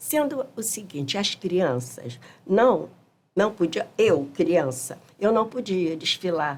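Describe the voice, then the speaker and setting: In a Rio de Janeiro accent, a woman speaks at a very slow pace. Her pitch is medium, with very wide swings. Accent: Rio de Janeiro carioca Portuguese. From Brazil, Rio de Janeiro (Mangueira). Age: 70s. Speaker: samba school elder musician. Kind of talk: podcast interview. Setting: studio.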